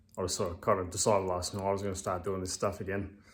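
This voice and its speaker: A man mumbling at a very fast pace, very deep and low in pitch, with an Australian accent. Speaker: amateur bodybuilder vlogger. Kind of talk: casual vlog talk. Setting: at home. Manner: hesitant, many fillers.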